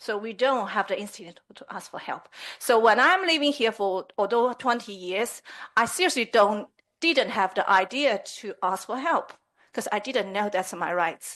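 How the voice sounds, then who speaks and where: Against a quiet background, a woman with a Chinese accent speaks at a moderate pace, with lively intonation and big swings in loudness. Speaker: community representative addressing a town council. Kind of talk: public address at council meeting. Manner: halting.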